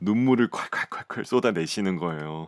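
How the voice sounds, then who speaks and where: A man's calm, gentle tone in a dry, close sound with no echo. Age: 30s. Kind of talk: podcast audio essay, casual personal storytelling.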